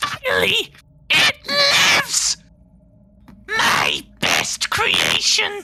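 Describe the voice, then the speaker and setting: A put-on character voice, shrill and extremely high-pitched, shouting at a very slow pace with long, frequent pauses. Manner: screaming, triumphant.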